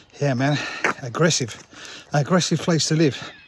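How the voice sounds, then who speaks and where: A man speaks at a moderate pace with fairly even intonation and a fairly high pitch for a man. Noticeable background noise runs under his voice. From England. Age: old. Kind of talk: casual talk to camera. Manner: rambling, hesitant.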